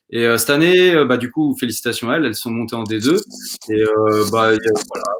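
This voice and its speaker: Using a plain, everyday voice, a man speaks fairly quickly at a medium pitch with ordinary pitch variation. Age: 20s. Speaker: football coach and shirt collector. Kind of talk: casual interview.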